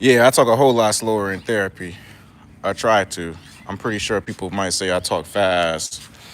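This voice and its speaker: A man is speaking here. His pitch is fairly low, with ordinary variation. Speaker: therapist and YouTuber reading live chat. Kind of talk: casual live-stream chat while walking. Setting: outdoors at a park. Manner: fast.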